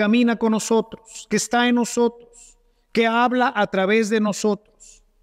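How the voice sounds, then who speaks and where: A man with a Mexican accent speaks at a fairly slow pace in an extremely high pitch, with a dry, close sound and no echo. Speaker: priest. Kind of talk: sermon. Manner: animated; rhetorical.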